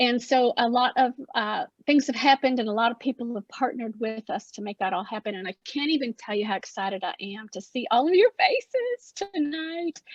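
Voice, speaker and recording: A woman with an Appalachian accent speaks with a high pitch, lively intonation, big swings in loudness and a fairly quick pace. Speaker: arts project founder. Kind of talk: opening remarks at virtual artist talk. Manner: halting.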